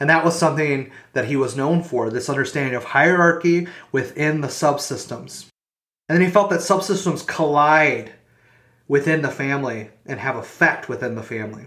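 At a moderate pace, the voice has a bright, sharp tone and ordinary pitch variation, with audible room echo around it. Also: man, fairly high pitch for a man. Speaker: podcast host. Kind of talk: educational monologue. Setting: home recording.

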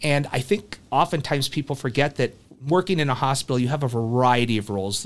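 Pitch varies in an ordinary way as the speaker talks fairly quickly. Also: man. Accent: Midwestern American. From US Midwest, small rural town. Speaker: hospital HR executive. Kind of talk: interview.

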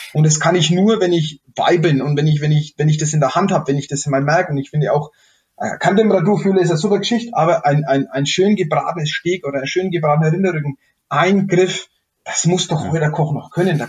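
The pace is fairly quick as a man speaks. His pitch is fairly high, with ordinary variation. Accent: Franconian. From Middle Franconia, Germany. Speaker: chef and innkeeper. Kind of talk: casual interview. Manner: halting, many repetitions.

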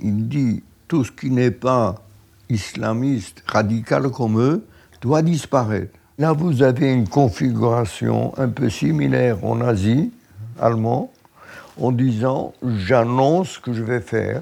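A man's medium-pitched, dark, mellow voice at a very slow pace, with lively intonation and long, frequent pauses. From Poland, Lodz. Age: 90s. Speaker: Holocaust survivor. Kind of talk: testimony.

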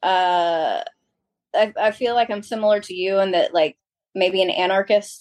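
A woman with a plain, everyday voice speaks at a fairly slow pace with fairly even intonation. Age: 40s. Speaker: small business owner. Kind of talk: casual chat.

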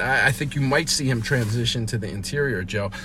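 A man's medium-pitched voice with an American accent, a fairly quick pace and ordinary pitch variation, with audible room echo and noticeable background noise. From Philadelphia, US. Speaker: sports reporter, podcast host. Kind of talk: post-game sports podcast chat. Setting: stadium press box.

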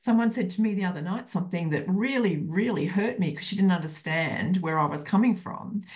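Somewhat breathy, a woman with an Australian accent speaks at a fairly quick pace and medium pitch with ordinary pitch variation. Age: 60s. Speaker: counselor and psychotherapist. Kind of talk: casual chat.

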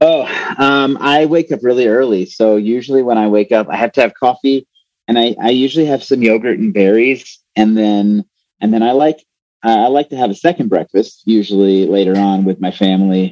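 With an unremarkable speaking voice and an American accent, a man talks at medium pitch and a fairly quick pace with ordinary pitch variation, the sound dry and close with no echo. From New Mexico, near Texas border. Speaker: theology lecturer and pastor. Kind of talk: casual interview.

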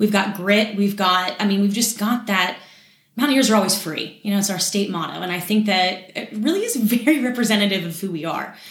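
A somewhat breathy voice with an American accent, a fairly quick pace, ordinary pitch variation and audible room echo. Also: woman, medium pitch for a woman. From West Virginia, Morgantown. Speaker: community relations manager at a bank. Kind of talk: casual interview.

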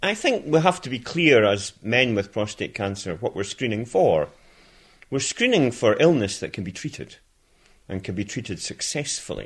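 A man's voice with very wide pitch swings, over a quiet background. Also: medium pitch for a man, moderate pace. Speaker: retired doctor. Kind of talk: interview.

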